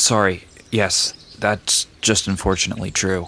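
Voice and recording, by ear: Using a put-on character voice, a man talks at a low pitch and a fairly slow pace, with little pitch movement and a bright, sharp tone.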